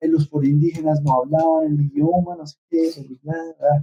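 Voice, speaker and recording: A man's fairly high voice with a dark, mellow tone, in a dry, close sound with no echo. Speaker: teacher. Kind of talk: casual group discussion on faith. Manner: fast; animated.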